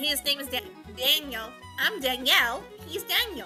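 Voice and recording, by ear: With clear music in the background, a woman uses a put-on character voice at a high pitch and a moderate pace.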